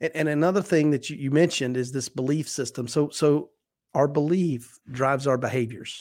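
A man's ordinary speaking voice, fairly high-pitched, at a fairly quick pace with ordinary pitch variation, on a very clean recording with a silent background. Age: 40s. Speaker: business coach and speaker. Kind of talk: casual chat.

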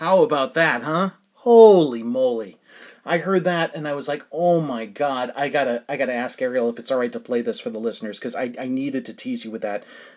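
A man speaks at a fairly quick pace with a fairly high pitch and an American accent. The background is quiet. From New England, US. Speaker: podcast host and self-published novelist. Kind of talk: casual monologue and interview. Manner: animated.

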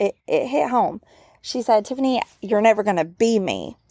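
In a very clean recording with a silent background, dry and close with no echo, a woman with a Southern US accent speaks in a dark, mellow tone at a fairly high pitch. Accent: Southern US drawl. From US South. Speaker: podcast host. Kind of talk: casual chat. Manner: casual, many fillers.

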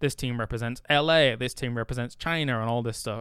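Speaking at a fairly quick pace, a man with an English accent keeps a medium pitch. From England. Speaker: esports host. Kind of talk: casual chat. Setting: hotel room.

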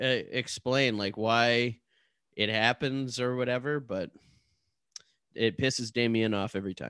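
A man with a Canadian accent speaks in a bright, sharp tone against a quiet background. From Ottawa area, Ontario. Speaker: podcast co-host. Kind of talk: casual chat and story narration.

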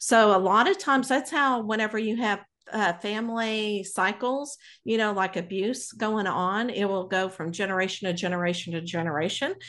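Over a quiet background, a woman with an American accent talks at a moderate pace and a medium pitch, with ordinary pitch variation. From Texas (Abilene). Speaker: psychic medium. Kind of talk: casual interview.

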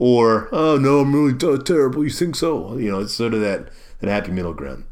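A man talks at a moderate pace in an unremarkable speaking voice. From Maryland, US East Coast. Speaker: podcast host. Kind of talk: casual solo monologue.

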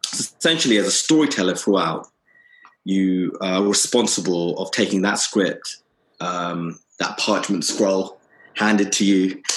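A man with a very deep, low pitch at a fairly slow pace, with ordinary pitch variation. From London and Kent, England, British Bangladeshi family. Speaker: television director and writer. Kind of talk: interview.

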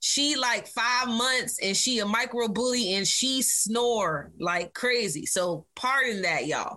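With an American accent, a woman talks at a very slow pace with hardly any pauses, very even loudness, a fairly high pitch, a bright, sharp tone and lively intonation. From Virginia Beach, US. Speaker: hip hop artist. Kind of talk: casual interview chat.

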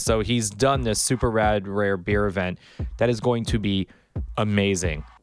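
A man with an American accent and a plain, everyday voice, at a moderate pace. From Miami Beach, Florida. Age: 40s. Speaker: podcast host and producer. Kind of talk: casual chat.

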